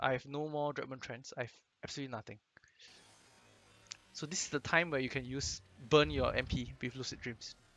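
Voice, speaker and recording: A man speaks in a Singaporean accent with fairly even intonation. His delivery has long, frequent pauses. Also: medium pitch for a man. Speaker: game guide commentator. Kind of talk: casual gameplay commentary.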